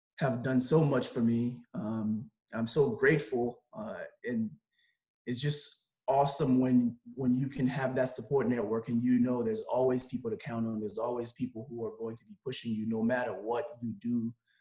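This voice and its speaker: A man with a Haitian accent, medium pitch, moderate pace and big swings in loudness. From Haiti, then Belle Glade, Florida from age 11. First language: Haitian Creole. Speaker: sports agent and lawyer. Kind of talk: podcast interview.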